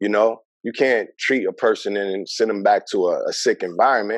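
A man with a New York accent at a moderate pace, dry sound with no echo, and a quiet background. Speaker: mental health worker; podcast guest. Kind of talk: interview. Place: home room. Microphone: video call.

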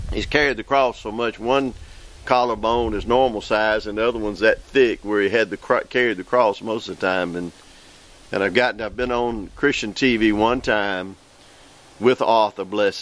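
Recorded with a dry sound with no echo, a man with a Southern US accent speaks at a fairly low pitch and a moderate pace. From US South, Mississippi. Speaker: evangelist preacher. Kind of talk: preaching show monologue. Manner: animated. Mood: warm, earnest. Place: forest.

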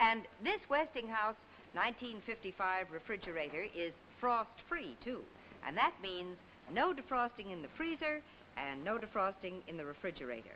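Upbeat in tone, a woman speaks at a fairly slow pace with very wide pitch swings and big swings in loudness, over noticeable background noise. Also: fairly high pitch for a woman. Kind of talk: 1950s TV commercial, scripted sales pitch. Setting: vintage archive commercial. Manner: bright, upbeat, chirpy salesman patter; brisk, polished, formal announcer delivery.

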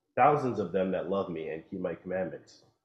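The speech moves at a fairly quick pace. There is audible echo from the room. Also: man. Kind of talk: scripture reading aloud. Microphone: video call.

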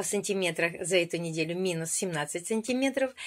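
With a fairly low pitch, this woman delivers her words. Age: 50s. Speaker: weight-loss program participant. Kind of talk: video testimony. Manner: animated. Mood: cheerful, pleased. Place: home room. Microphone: phone near.

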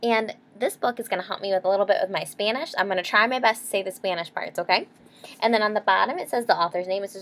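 Someone does plain reading aloud.

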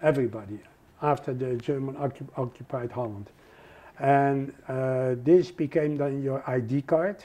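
This man has a medium-pitched voice with a dark, mellow tone and a Dutch accent. His pitch varies in an ordinary way, and he keeps a moderate pace. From Netherlands. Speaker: Holocaust survivor. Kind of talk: oral history interview answer.

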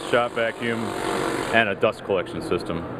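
Clear background noise sits behind speech with fairly even intonation. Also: man.

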